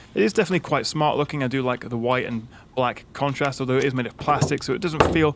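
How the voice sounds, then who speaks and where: A man with a British accent talks very fast at a medium pitch, his pitch varying in an ordinary way over noticeable background noise. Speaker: tech reviewer. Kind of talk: tutorial. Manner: casual, frequent filler 'uh'.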